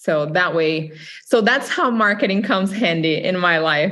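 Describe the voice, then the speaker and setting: With a Brazilian Portuguese accent, a woman speaks at a fairly slow pace, medium in pitch with ordinary pitch variation. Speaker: real estate agent. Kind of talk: interview.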